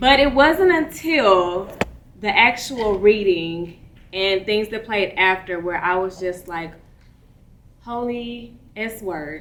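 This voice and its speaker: A woman speaks at a very slow pace, with long, frequent pauses. Her loudness swings widely. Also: medium pitch for a woman, lively intonation. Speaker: actor. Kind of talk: panel Q&A.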